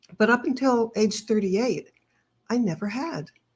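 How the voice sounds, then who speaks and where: A woman's somewhat breathy voice sits at a fairly high pitch with ordinary pitch variation. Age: 70s. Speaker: author. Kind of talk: interview.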